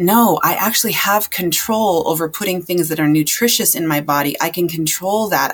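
With a plain, everyday voice, a woman talks at a moderate pace, her pitch fairly low and her pitch variation ordinary. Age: 40s. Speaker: health and transformation coach. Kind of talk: casual chat.

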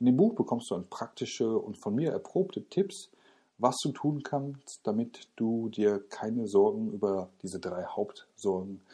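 At a fairly slow pace, a man talks in a medium pitch with a dark, mellow tone and lively intonation. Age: 30s. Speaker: podcast host and parenting blogger. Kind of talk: solo podcast monologue. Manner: casual, with filler words.

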